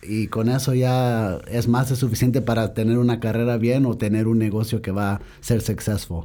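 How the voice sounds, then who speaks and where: A man with a dark, mellow tone and a medium pitch talks at a moderate pace with hardly any pauses and fairly even intonation. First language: English (speaking Spanish). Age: young. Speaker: business owner. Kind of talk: interview. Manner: halting Spanish with English switches.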